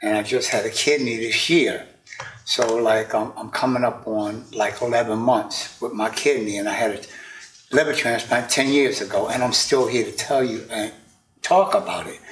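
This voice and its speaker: The delivery, in a normal speaking voice, keeps a moderate pace and ordinary pitch variation. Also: man. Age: 60s. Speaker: podcaster, interview guest. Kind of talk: casual interview.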